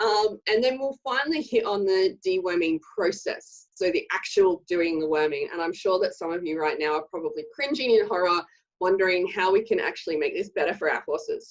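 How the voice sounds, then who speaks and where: Speaking at a fairly quick pace with hardly any pauses, a woman with an Australian accent uses lively intonation and a medium pitch. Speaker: horse owner and summit presenter. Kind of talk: online presentation. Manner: casual, with many filler words.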